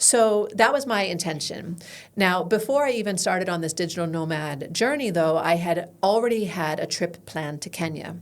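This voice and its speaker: A woman with an American accent, fairly low in pitch, with lively intonation, a moderate pace and audible room echo. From United States. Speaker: business founder. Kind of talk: interview.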